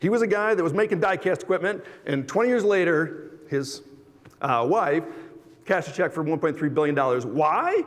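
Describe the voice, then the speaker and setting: A high-pitched man with lively intonation and very even loudness. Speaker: automotive industry executive. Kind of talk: conference presentation. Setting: stage with audience. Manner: fast; animated.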